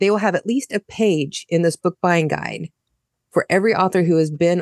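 A woman with an American accent has an unremarkable speaking voice, fairly low in pitch. Her pitch varies in an ordinary way, and the sound is dry and close with no echo. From United States. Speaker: indie author and podcaster. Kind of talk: casual chat.

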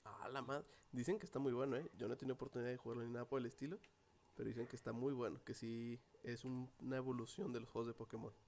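Very fast in pace, a man speaks at a medium pitch with ordinary pitch variation. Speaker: podcast co-host. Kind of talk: casual chat.

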